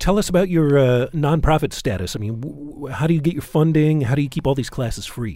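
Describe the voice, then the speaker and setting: A man with a fairly high pitch and a dark, mellow tone talks at a very fast pace with hardly any pauses and ordinary pitch variation. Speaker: radio host. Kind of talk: radio show hosting and interview. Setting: studio.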